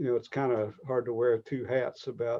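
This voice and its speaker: The man has a Southern accent and a medium pitch. His delivery is monotone and flat at a moderate pace. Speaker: realtor. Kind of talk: webinar interview.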